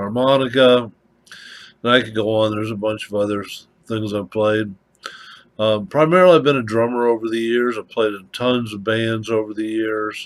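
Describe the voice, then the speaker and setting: A man talks at a moderate pace with fairly even intonation. His loudness swings widely. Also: medium pitch for a man. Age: 60s. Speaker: prepping vlogger. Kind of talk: casual monologue. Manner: halting, many fillers.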